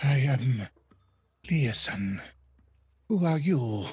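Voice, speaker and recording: The man's pitch falls in the medium range. He is doing a put-on character voice. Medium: actual play. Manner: hushed, whispering.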